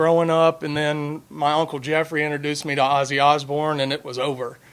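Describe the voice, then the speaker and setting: The speaker is a man with a fairly high pitch. His intonation stays monotone and flat. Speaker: bass player. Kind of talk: casual chat. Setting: studio. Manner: loud.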